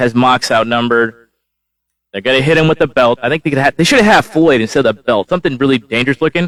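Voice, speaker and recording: A man's animated, medium-pitched voice with ordinary pitch variation, in a dry, close sound with no echo. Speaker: wrestling show reviewer. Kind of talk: live solo review. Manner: fast.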